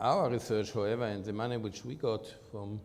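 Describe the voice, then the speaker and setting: A man with an Austrian accent speaks in a dark, mellow tone. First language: German. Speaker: medical researcher, professor. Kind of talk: interview. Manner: halting.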